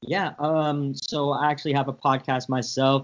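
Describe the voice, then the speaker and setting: A man speaks at a medium pitch and a moderate pace. He has an unremarkable speaking voice. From San Francisco, US. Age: 20s. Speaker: podcast host, guest. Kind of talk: casual chat.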